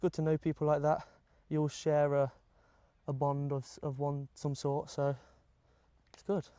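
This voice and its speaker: The voice moves at a moderate pace in a flat monotone, broken by long, frequent pauses, on a very clean recording with a silent background and dry, close sound without echo. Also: man, fairly high pitch for a man. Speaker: amateur football captain. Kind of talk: casual interview. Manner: loud.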